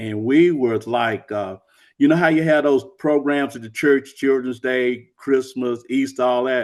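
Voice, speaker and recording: A man's medium-pitched voice proceeds at a fairly slow pace. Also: ordinary pitch variation, quiet background. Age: 60s. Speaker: author. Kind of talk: interview. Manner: halting.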